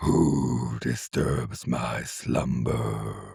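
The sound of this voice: Putting on a character voice, a man booms in a very deep, low, raspy register.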